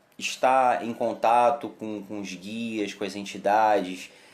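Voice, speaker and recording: A man talks at a medium pitch. His pitch rises and falls in an ordinary way. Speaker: umbanda temple leader. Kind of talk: live stream chat. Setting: Facebook live stream.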